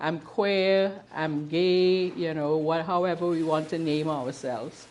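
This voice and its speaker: A woman's fairly low voice with a Trinidadian accent, fairly even intonation and a fairly slow pace. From Trinidad and Tobago. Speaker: queer history presenter, activist. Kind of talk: talk to a live audience. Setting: bookshop with audience.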